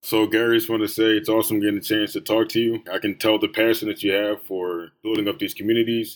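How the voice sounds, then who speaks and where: A man with an American accent speaks at a very fast pace in a fairly low voice, on a very clean recording with a silent background. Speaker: student interviewer. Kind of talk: interview.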